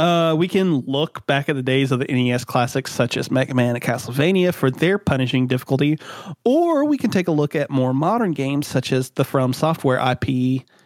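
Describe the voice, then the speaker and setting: At a moderate pace and a fairly high pitch, a man speaks in a dry, close sound with no echo. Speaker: podcast host. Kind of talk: casual chat. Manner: rambling.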